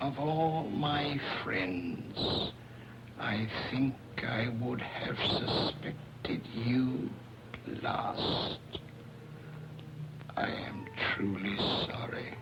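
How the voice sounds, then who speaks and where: Over loud background noise, a man whispers in a put-on character voice at a very slow pace. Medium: old radio play. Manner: formal, measured.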